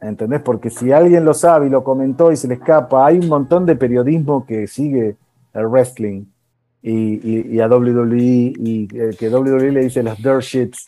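In a Rioplatense accent, a man with a dark, mellow tone speaks at a fairly slow pace. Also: medium pitch for a man, ordinary pitch variation. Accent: Argentine Spanish (rioplatense). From Argentina. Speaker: TV post-production producer. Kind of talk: casual interview chat.

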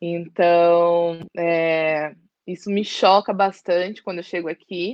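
A woman's medium-pitched voice moves along very slowly. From East Zone of São Paulo, Brazil. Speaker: social worker and activist. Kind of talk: interview.

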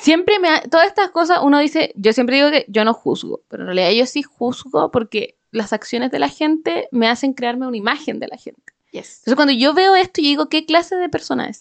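Delivered in a Chilean accent at a fairly quick pace, the speech has hardly any pauses, very wide pitch swings and big swings in loudness. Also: woman, high pitch for a woman. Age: 20s. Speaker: podcast co-host. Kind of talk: casual chat.

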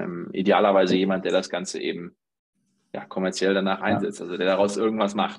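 Fairly quick delivery in a monotone, flat intonation. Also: man. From Germany, Dortmund (Ruhr area). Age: 30s. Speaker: startup founder. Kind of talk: interview.

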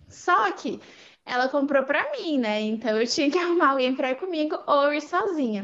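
A woman with a Paulista accent speaks in a high pitch. Her intonation is lively and her pace moderate. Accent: Paulista Brazilian Portuguese. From Brazil, São Paulo. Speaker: language learner, former exchange student. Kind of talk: casual interview.

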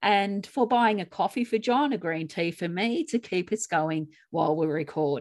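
A medium-pitched woman with lively intonation on a very clean recording against a silent background. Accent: Australian. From Australia. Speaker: grief coach and podcast co-host. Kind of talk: podcast chat and reading own writing.

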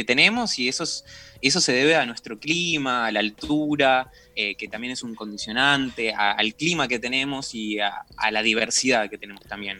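Music plays in the background. A man talks over it at a moderate pace. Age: 20s. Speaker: wine sommelier. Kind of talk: radio interview.

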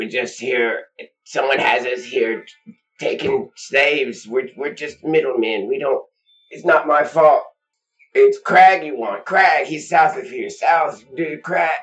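A put-on character voice, croaky and strained, at middle pitch and a fairly slow pace. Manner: pleading, desperate.

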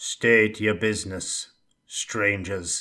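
A man puts on a character voice at a fairly low pitch. The recording is very clean, with a silent background. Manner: proud, suspicious.

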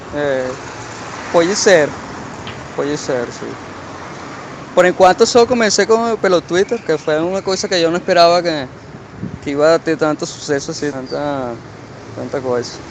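Amid noticeable background noise, a man speaks at a fairly slow pace with a fairly high pitch. His intonation is lively, broken by long, frequent pauses. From Portugal. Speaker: internet personality. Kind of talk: casual interview. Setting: outdoors on a call. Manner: halting, mixes Spanish and Portuguese. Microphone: muffled audio.

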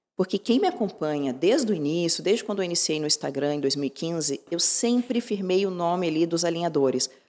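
A woman with a dark, mellow tone and fairly low pitch speaks at a fairly quick pace with lively intonation. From Curitiba, southern Brazil. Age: 30s. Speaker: dentist and social media influencer. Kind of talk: casual interview.

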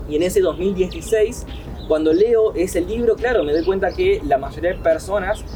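Speech at a fairly slow pace over noticeable background noise. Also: man. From Argentina, Paraná (Entre Ríos). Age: 30s. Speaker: entrepreneur. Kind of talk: interview.

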